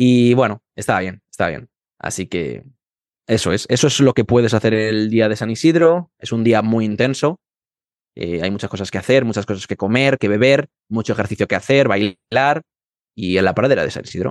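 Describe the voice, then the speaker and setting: Speaking at a moderate pace with a Madrid accent, a man with a medium-pitched voice and ordinary pitch variation is heard in a dry, close recording with no echo and a quiet background. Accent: Madrid Spanish, final d as z. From Madrid, Spain. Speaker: Spanish teacher. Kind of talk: interview for language learners. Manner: hesitant, many fillers.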